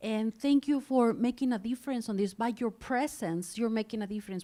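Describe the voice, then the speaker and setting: A woman with a Spanish accent speaks in a dark, mellow tone and fairly even intonation on a very clean recording with a silent background. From Mexico. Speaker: nonprofit leader. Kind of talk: speech to audience.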